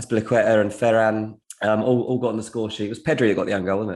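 A man with an English accent speaks fairly quickly at medium pitch in a monotone with flat intonation. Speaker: football transfer journalist. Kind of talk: casual chat.

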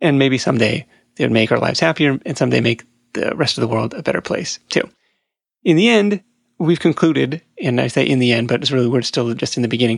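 Very fast and medium-pitched, a man speaks with vocal fry and ordinary pitch variation against a quiet background. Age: 30s. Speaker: podcast host, entrepreneur. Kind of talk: solo podcast monologue.

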